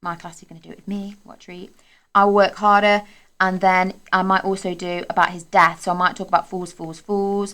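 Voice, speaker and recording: On a very clean recording with a silent background, a woman with a medium pitch and a bright, sharp tone speaks at a fairly quick pace. Her intonation is monotone and flat, with big swings in loudness. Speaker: secondary school English teacher. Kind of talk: tutorial. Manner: fast.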